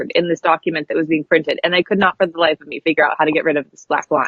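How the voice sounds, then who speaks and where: A woman speaks with a Pacific Northwest accent. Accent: General American (Pacific Northwest). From US West Coast (coastal Oregon). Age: 30s. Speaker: graphic designer and spiritual coach. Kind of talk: podcast interview.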